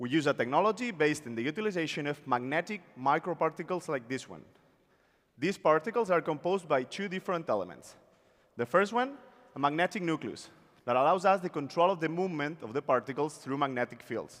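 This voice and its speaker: With a Spanish accent, a man talks at a very fast pace in a fairly high pitch with lively intonation. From Spain. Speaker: startup founder. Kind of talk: pitch presentation. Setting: stage with audience.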